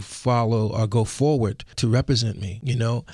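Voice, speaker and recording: A plain, everyday voice with an American accent, fairly even intonation and a moderate pace over a quiet background. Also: man. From US Northeast, West Philadelphia. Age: 60s. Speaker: musician and karate instructor. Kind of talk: radio interview. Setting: radio studio.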